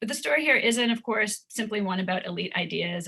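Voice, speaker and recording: Noticeable background noise accompanies a woman speaking very fast. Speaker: historian. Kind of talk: academic panel presentation. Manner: hesitant, many fillers.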